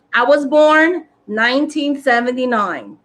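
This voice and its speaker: A woman speaks in an animated tone with a New York accent. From New York City, South Bronx. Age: 40s. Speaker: spiritual content creator. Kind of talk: casual chat. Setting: live stream.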